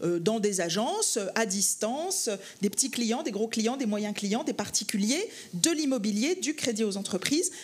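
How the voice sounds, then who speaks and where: Her voice is high and her intonation lively. The woman speaks at a fairly slow pace. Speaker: banking federation executive. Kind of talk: panel discussion. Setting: conference stage with audience. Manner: hesitant, many fillers.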